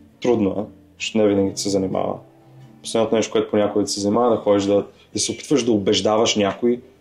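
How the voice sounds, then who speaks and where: With music behind him, a man talks at a very fast pace in a monotone, flat intonation. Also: fairly low pitch for a man. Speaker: actor and entrepreneur. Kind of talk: podcast interview.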